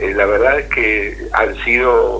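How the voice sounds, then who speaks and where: Noticeable background noise fills the recording. Through it, a man can be heard talking. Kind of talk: interview. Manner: halting.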